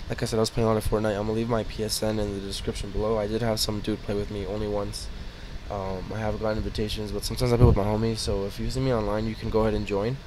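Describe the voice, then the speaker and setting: A man speaks quietly at a very fast pace, with audible room echo. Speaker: YouTuber. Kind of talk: casual vlog outro.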